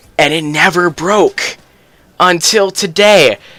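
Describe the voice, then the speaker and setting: A man speaks over noticeable background noise. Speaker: gaming YouTuber. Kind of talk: casual gaming commentary. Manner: fast; casual, filler-heavy.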